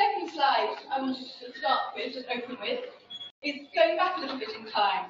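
A high-pitched woman's voice in a British accent, lively in intonation, with audible room echo and light background noise. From United Kingdom. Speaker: social science researcher. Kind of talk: lecture. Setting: seminar room with audience. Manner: fast talker. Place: hall.

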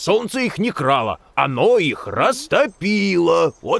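In a cartoonish character voice, a man speaks slowly with a fairly bright tone, a high pitch, big pitch swings and vocal fry.

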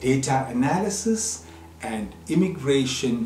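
A man's very slow speech with audible room echo and music in the background. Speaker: news presenter. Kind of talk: news presentation. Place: studio.

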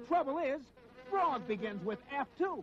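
In a put-on character voice, a man speaks at a moderate pace with extremely high pitch and big pitch swings. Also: fairly bright tone.

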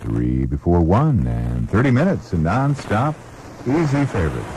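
Over light background noise, a man speaks at a moderate pace with very wide pitch swings. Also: dry sound with no echo. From United States, mid-Atlantic. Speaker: radio station announcer. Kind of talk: radio station ID and jingle, aircheck. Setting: radio broadcast. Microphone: old recording.

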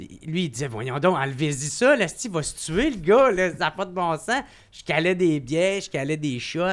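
Speaking at a fairly slow pace, the voice has lively intonation over a quiet background. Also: man, high pitch for a man, big swings in loudness. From Quebec, Gatineau; Quebec. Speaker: comedian. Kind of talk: casual chat. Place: studio. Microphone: studio mic.

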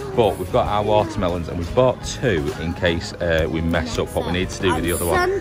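Fairly quick delivery with hardly any pauses, set against clear background music. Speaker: family vlogger father. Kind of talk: casual vlog chat. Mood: playful, laughing. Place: shop. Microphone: phone near.

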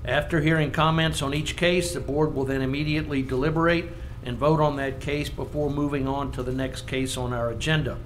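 Over noticeable background noise, the voice moves at a moderate pace in a monotone, flat intonation. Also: man. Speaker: planning commission chairman. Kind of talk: public meeting chairing.

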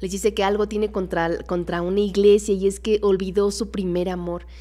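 Her dark, mellow tone sits at a medium pitch as the woman talks at a fairly quick pace in a monotone, flat intonation. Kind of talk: casual Bible study livestream. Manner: fast. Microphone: studio mic.

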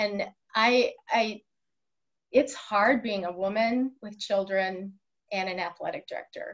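This woman has an unremarkable speaking voice with a fairly high pitch and an American accent. She talks at a fairly slow pace with fairly even intonation over a quiet background. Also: big swings in loudness. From Wisconsin (Waukesha); Wisconsin. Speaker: high school athletic director; podcast guest. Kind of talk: interview. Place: office. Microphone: webcam.

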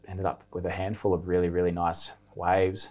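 Speaking at a moderate pace with an Australian accent, a man uses a very deep, low pitch and monotone, flat intonation. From Australia, Byron Bay. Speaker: professional surfer. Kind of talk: casual chat. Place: studio. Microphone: lapel.

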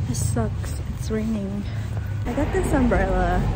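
The pace is fairly slow. Loud background noise runs underneath. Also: woman. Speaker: travel vlogger. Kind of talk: casual vlog chat. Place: street. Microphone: phone near.

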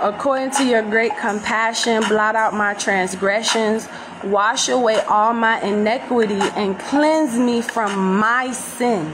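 With noticeable background noise, a woman speaks at a very slow pace in a fairly high pitch with fairly even intonation. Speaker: religious vlogger leading prayer. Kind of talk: fervent prayer. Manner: earnest, pleading, fervent. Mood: emotional, fervent. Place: home room. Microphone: phone near.

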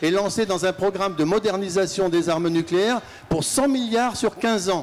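The man's voice is high in pitch with ordinary variation. He keeps a moderate pace. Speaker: audience member, peace activist. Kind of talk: audience question. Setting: audience at a festival debate. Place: hall. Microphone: handheld.

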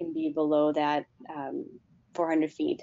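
In an American accent, a woman talks at a fairly low pitch. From Chicago, US Midwest. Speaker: aviation safety outreach host. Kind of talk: webinar presentation and Q&A moderation.

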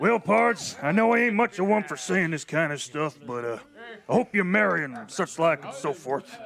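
A drawling, put-on character voice at a moderate pace, with very wide pitch swings. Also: man, high pitch for a man. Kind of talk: comic western drawl. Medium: audio drama. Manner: drawling, folksy.

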